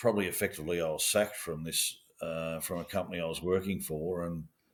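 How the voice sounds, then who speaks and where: In a very deep, low pitch, a man talks at a very fast pace with monotone, flat intonation. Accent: Australian. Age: 60s. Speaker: former police officer. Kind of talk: interview. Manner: halting.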